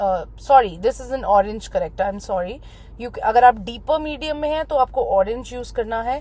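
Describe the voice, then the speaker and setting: This woman's voice is high in pitch. Her pitch varies in an ordinary way. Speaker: makeup artist. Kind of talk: tutorial. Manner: loud; Hindi-English code-switching.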